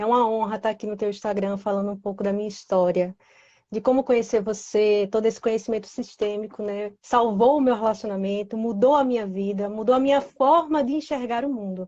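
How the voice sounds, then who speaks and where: A woman with a northeastern Brazilian accent, fairly high in pitch, at a fairly quick pace with ordinary pitch variation. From Recife, Pernambuco, northeastern Brazil. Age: 20s. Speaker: guest sharing personal story. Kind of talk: testimony. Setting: Instagram live.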